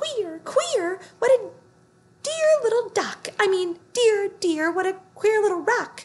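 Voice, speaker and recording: A squeaky, put-on character voice at an extremely high pitch and a fairly slow pace. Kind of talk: storybook read-aloud. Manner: comical, muddled.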